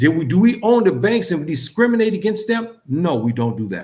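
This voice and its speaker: A man's high voice at a moderate pace, with very wide pitch swings and audible room echo. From US West Coast. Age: 60s. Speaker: community speaker. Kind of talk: lecture. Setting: gathering with audience. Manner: impassioned.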